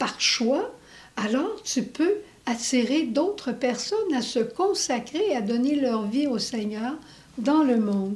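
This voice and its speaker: A woman with an English accent speaks very slowly in a high voice. Her pitch swings very widely. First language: English (speaking French). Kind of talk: religious testimony.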